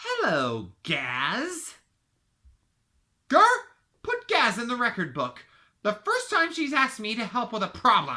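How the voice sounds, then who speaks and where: Using a put-on character voice, a woman speaks high in pitch at a fairly slow pace with long, frequent pauses. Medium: solo performance. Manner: pompous, commanding.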